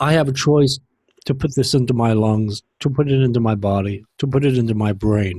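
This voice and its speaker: Somewhat breathy and dark, mellow in tone, a man speaks at a fairly quick pace with ordinary pitch variation and very even loudness. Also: medium pitch for a man. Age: 60s. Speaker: vaping commentary vlogger. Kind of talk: monologue vlog. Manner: halting, many fillers; heated ranting.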